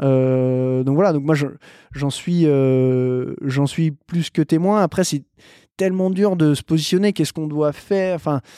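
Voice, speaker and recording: The voice has a dark, mellow tone and ordinary pitch variation at a fairly slow pace. The sound is dry and close with no echo, a very clean recording with a silent background. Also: man, fairly high pitch for a man. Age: 30s. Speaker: mountaineer and mountain guide. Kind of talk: casual interview. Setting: by Lake Annecy, indoors.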